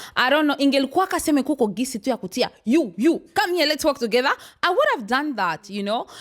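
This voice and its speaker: A loud woman talks very fast at a high pitch, her voice swinging very widely. Her tone is animated and energetic. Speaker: talk show host. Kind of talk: casual panel discussion. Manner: loud, energetic.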